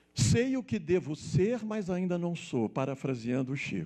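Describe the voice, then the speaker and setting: A man speaks with a dark, mellow tone. He goes at a fairly slow pace with very wide pitch swings. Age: 60s. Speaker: spiritist speaker and author. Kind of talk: spiritist lecture.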